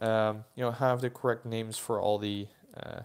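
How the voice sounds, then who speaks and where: Recorded very cleanly against a silent background, a man with a Dutch accent speaks with fairly even intonation. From Netherlands. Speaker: toy collector YouTuber. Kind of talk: live stream chat. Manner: hesitant, many fillers.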